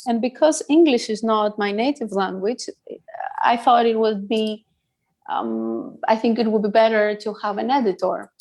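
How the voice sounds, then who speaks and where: In a Greek accent, a woman speaks at a moderate pace with a fairly high pitch and ordinary pitch variation. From Greece. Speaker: psychologist, business founder. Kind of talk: podcast interview.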